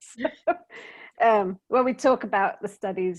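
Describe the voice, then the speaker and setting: Over a quiet background, a woman with a British accent talks at a moderate pace, her voice showing vocal fry and ordinary pitch variation. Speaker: DEI workshop presenter. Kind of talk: workshop Q&A discussion.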